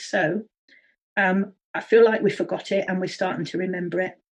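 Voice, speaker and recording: A woman's normal speaking voice, medium in pitch, with fairly even intonation and a fairly quick pace. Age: 60s. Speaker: early childhood education consultant. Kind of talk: interview.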